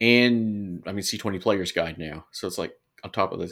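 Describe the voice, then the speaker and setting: The recording is very clean with a silent background. A man with a fairly low pitch and ordinary pitch variation speaks in an unremarkable speaking voice. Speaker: podcast co-host. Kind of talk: casual podcast discussion.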